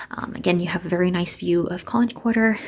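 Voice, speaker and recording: A quiet, somewhat breathy woman's voice, fairly low in pitch, with ordinary pitch variation at a moderate pace. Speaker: student vlogger. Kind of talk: walkthrough vlog. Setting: indoors, walking through a residence building. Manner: quieter, lowered voice.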